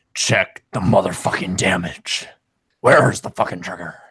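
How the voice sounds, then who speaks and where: Put-on character voice, raspy and very deep, at a moderate pace. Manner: gruff, aggressive.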